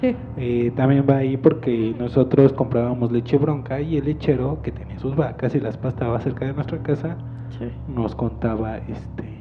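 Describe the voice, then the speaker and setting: A man at medium pitch over noticeable background noise. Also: fairly even intonation, moderate pace. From Mexico City outskirts. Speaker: podcast co-host. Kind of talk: casual chat; storytelling.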